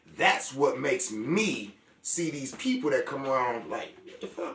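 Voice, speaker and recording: Through noticeable background noise, a man talks at a fairly slow pace in an animated tone. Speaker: healer and show host. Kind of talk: casual chat. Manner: loud.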